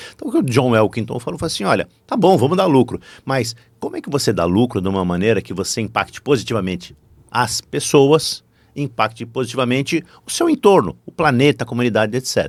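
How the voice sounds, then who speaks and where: Over a silent background in a very clean recording, a man talks at a fairly quick pace with lively intonation at a medium pitch. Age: 60s. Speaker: business professor and corporate board advisor. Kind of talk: podcast interview. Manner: animated.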